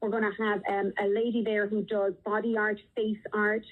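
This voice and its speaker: A woman speaks with a strong Irish accent at a fairly high pitch. Her pace is moderate. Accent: Irish, strong despite thirty years in US. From Ireland, Dublin. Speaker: theater nonprofit founder. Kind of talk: radio interview.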